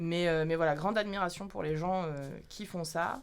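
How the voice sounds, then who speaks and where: In a room with audible echo, a woman speaks in a fairly low, flat monotone at a moderate pace. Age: 30s. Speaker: actress and stage director. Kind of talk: casual chat. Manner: hesitant, many fillers.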